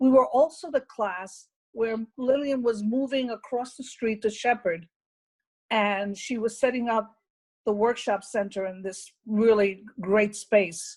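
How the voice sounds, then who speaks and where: Someone with an American accent speaks at a fairly slow pace with ordinary pitch variation. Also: woman, fairly high pitch for a woman. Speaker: retired teacher. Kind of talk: interview. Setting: video call. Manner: loud.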